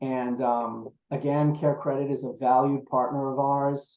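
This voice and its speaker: A man talks with a New York accent. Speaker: procurement executive. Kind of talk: webinar presentation.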